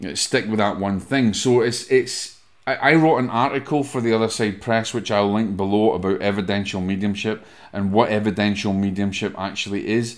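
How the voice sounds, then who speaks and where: The speaker talks at a moderate pace with a Scottish accent against a quiet background. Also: man. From Scotland. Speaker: podcast host and medium; podcast host. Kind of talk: solo podcast talk, teaching. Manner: casual, conversational with fillers. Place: home room. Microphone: studio mic.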